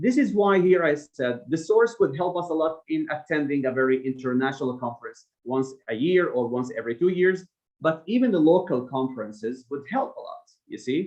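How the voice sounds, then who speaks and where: A non-native accent with lively intonation and a moderate pace. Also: man, fairly high pitch for a man. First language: not English. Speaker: academic researcher. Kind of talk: seminar Q&A. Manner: hesitant with fillers.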